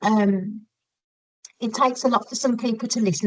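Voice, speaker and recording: A woman with a West Midlands accent talks at a moderate pace in a fairly high pitch, her intonation monotone and flat. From West Midlands, England. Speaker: podcast guest, forensic psychology student. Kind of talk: casual interview chat. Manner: hesitant, many 'um' fillers.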